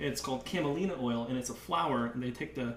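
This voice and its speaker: A man's voice at medium pitch, with ordinary pitch variation and noticeable background noise. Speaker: chef. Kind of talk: cooking tutorial. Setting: live video stream. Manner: fast.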